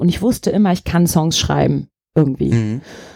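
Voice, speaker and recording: A woman talks at a fairly quick pace. Her voice is dark and mellow, with ordinary pitch variation. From Germany, Turkish parents. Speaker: singer-songwriter. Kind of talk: casual interview chat.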